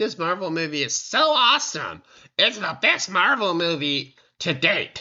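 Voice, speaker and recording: The put-on character voice sits at a middle pitch and moves at a moderate pace. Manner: exaggerated, gushing.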